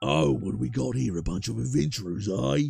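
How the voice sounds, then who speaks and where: A man puts on a character voice that is very deep and guttural, pitched low even for a man, and talks at a fairly quick pace. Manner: gruff, gravelly.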